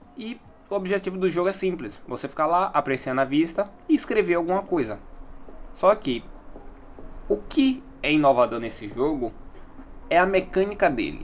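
A man speaks at a moderate pace in a high voice, his pitch swinging very widely, with long, frequent pauses. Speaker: solo podcaster. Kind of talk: casual monologue.

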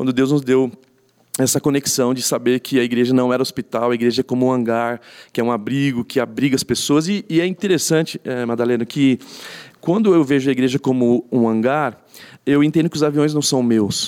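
In a dry, close sound with no echo, a man with a plain, everyday voice talks at a fairly quick pace with a medium pitch and ordinary pitch variation. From São Paulo, Brazil (east zone). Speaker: pastor. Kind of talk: casual interview.

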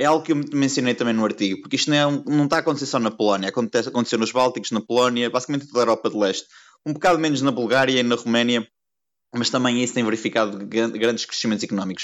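Delivery comes at a very fast pace with very even loudness and ordinary pitch variation. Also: man, medium pitch for a man. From Portugal, Porto. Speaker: economics consultant and emigrant. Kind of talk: podcast interview.

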